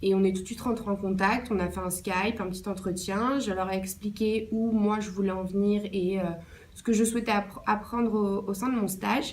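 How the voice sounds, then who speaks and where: Moderate pace and monotone, flat intonation, with audible room echo around the voice. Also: woman, medium pitch for a woman. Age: 20s. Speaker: intern. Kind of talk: interview answers.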